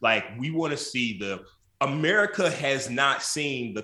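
Bright and sharp in tone, a man speaks at a fairly slow pace with a medium pitch and lively intonation. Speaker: crisis manager and political commentator. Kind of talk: casual talk show panel chat.

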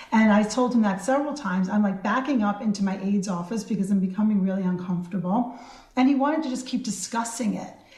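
Over noticeable background noise, a woman speaks at a very fast pace at medium pitch with ordinary pitch variation. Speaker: state senator. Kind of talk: radio interview recounting an event.

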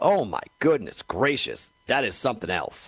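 Excited and animated, a man speaks at a moderate pace in a dry, close sound with no echo. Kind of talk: sports radio host talk with a replayed live hockey call. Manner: excited, emphatic, animated.

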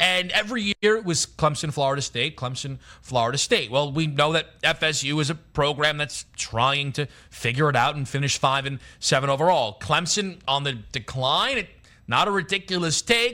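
Over a silent background in a very clean recording, a man speaks at a moderate pace. His voice is fairly high, with a bright, sharp tone and lively intonation. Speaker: sports betting radio co-host. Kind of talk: radio dj patter: conversational banter, betting analysis. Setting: radio studio, live. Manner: relaxed, chatty, analytical and joking.

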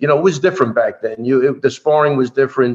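With an American accent, a man talks in a fairly high register. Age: 60s. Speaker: MMA coach. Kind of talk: casual interview.

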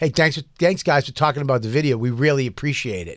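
A put-on character voice from a man, raspy and medium in pitch, at a fairly quick pace with big swings in loudness. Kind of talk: casual. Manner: sarcastic.

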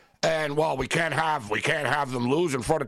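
This man has a normal speaking voice pitched fairly high. He talks at a fairly quick pace. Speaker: sports bettor guest.

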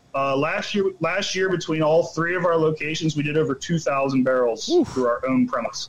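A man's fairly high voice at a fairly quick pace, hardly any pauses and ordinary pitch variation, over noticeable background noise. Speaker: brewer. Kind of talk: casual interview chat.

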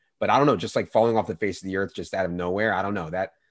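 A man with an American accent talks at a very fast pace in a fairly low pitch, on a very clean recording with a silent background. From Virginia. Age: 30s. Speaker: fantasy sports analyst. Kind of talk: casual chat.

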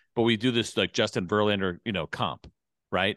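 Speaking very fast, a man with an American accent keeps his pitch fairly low. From Suffern, New York. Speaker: baseball radio host. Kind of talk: casual chat.

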